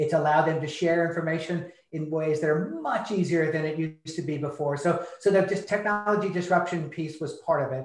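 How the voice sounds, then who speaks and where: Over noticeable background noise, a man with fairly high pitch speaks at a fairly quick pace, hardly pausing, with fairly even intonation. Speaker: internet research director. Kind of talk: panel discussion/interview.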